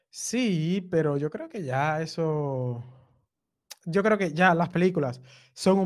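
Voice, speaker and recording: In a very clean recording over a silent background, a man talks at a fairly high pitch. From Dominican Republic (Cibao). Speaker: web developer and content creator. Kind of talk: casual chat.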